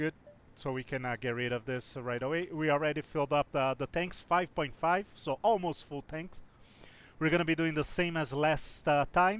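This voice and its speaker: Close and dry with no echo, this very clean recording with a silent background has a man speaking at a moderate pace with a fairly high pitch and ordinary pitch variation. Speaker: flight sim streamer. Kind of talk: live stream commentary. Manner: hesitant, many fillers; talkative.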